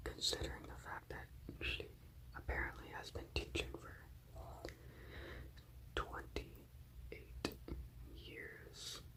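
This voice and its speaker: The speaker whispers at a very slow pace, with long, frequent pauses. Noticeable background noise runs underneath. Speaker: college student; ASMR creator. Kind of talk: ASMR whisper ramble. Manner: whispered, up close.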